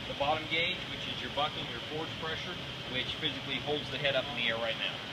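Loud background noise fills the clip. A man is speaking. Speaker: equipment demonstrator. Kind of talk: tutorial. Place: factory. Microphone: camera far.

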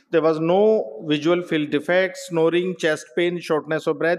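Fairly even intonation from a man speaking at a moderate pace. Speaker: medical professor presenting a case. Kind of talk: lecture. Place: hall.

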